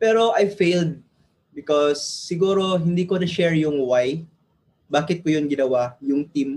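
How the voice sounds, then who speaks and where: Speaking with a Filipino accent, a man holds a very even loudness at a fairly high pitch, with ordinary pitch variation. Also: moderate pace. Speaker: entrepreneur, former IT engineer. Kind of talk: casual chat, testimony.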